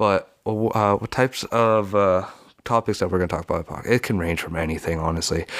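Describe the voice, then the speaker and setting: A man speaks at a moderate pace in a fairly low voice with ordinary pitch variation. The recording is very clean, with a silent background. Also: dry, close sound with no echo. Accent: Western Canadian. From Canada, Vancouver area (Lower Mainland, British Columbia). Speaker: podcast host. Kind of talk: casual solo talk.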